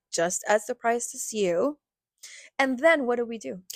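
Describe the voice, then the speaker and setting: A woman's high, energetic voice with very wide pitch swings at a moderate pace, in a very clean recording with a silent background and a dry, close sound with no echo. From Latin America. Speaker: podcast co-host. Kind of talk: casual chat.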